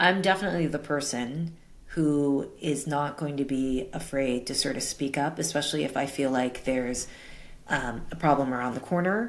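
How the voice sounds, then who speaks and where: A woman with an American accent, very deep, low pitch and moderate pace. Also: ordinary pitch variation. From US Northeast, Brooklyn, New York City. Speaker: tech executive and advisor. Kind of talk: interview. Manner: loud.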